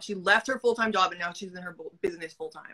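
A woman's fast, bright, sharp voice at a fairly low pitch. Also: ordinary pitch variation.

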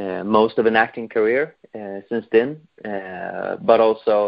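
A man with a Swedish accent speaks fairly slowly at a medium pitch with fairly even intonation over a quiet background. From Sweden. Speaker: fan film director; fan film creator, guest. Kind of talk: interview. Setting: phone call. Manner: halting. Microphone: video call.

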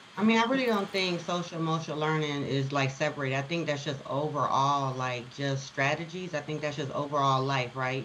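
Her voice very deep and low, a woman talks at a fairly quick pace with ordinary pitch variation, amid audible room echo and noticeable background noise. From Chicago. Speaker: education consultant and CEO. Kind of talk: casual interview.

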